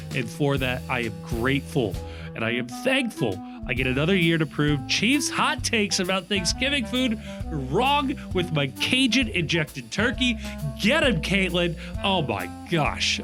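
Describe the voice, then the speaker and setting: Music in the background behind a man speaking at a fairly slow pace. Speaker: podcast host. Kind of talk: solo podcast reading listener messages.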